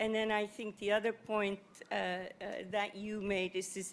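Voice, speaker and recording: A woman speaks with a non-native accent at a moderate pace. Her medium-pitched voice has monotone, flat intonation. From Netherlands. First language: not English. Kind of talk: panel discussion. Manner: halting, many fillers.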